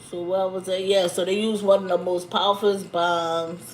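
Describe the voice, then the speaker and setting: A woman speaks at a moderate pace with a fairly low pitch. Her intonation stays flat and monotone. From Louisiana, New Orleans. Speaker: YouTuber. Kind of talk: livestream commentary. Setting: YouTube livestream. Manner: casual, conversational.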